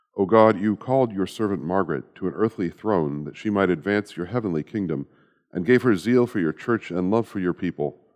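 An unremarkable speaking voice from a man, fairly low in pitch and fairly quick, with ordinary pitch variation. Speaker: priest leading daily prayer. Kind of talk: fervent liturgical prayer, intoning petitions with earnest, hushed devotion. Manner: earnest, reverent, measured and solemn.

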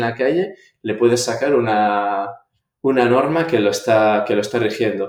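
A man's normal speaking voice sits at a medium pitch with ordinary pitch variation. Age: 30s. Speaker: public prosecutor. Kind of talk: interview.

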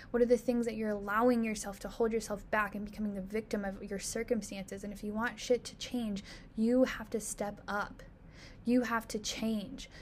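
Her voice somewhat breathy and fairly high, a woman speaks at a moderate pace in a monotone, flat way with big swings in loudness. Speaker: podcast host and fitness business owner. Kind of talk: solo motivational monologue.

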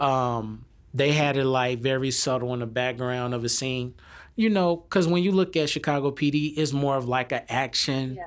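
A man speaks in a normal speaking voice with an American accent, medium pitch and ordinary pitch variation. His pace is moderate, and the recording is very clean with a silent background. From United States. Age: 30s. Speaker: hip hop artist. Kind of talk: interview. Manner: casual.

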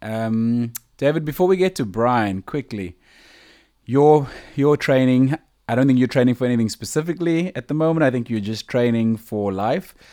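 An unremarkable speaking voice belongs to a man at medium pitch, with lively intonation and a moderate pace. The recording is very clean, the background silent. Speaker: podcast host. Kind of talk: casual podcast chat.

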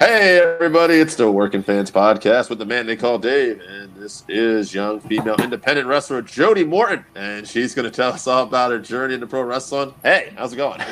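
Over noticeable background noise, a man speaks at a fairly quick pace and medium pitch with lively intonation and hardly any pauses. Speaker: podcast host, interviewer. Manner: casual, relaxed.

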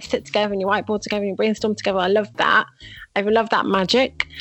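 Over music in the background, a woman speaks at a fairly high pitch in a Mancunian accent. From Manchester, England. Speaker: UX designer. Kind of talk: casual interview. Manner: animated, laughs often.

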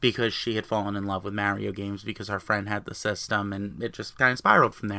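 In a New Jersey accent, the speaker races at a very fast pace with hardly any pauses, keeping a monotone, flat intonation. The tone is bright and sharp, and the recording very clean with a silent background. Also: man, fairly low pitch for a man. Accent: New Jersey American. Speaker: gaming podcaster. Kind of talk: solo podcast monologue.

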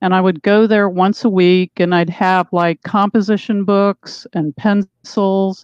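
A woman with an unremarkable speaking voice, medium in pitch, at a fairly slow pace, in a dry, close sound with no echo. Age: 60s. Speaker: author. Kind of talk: interview. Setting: video call.

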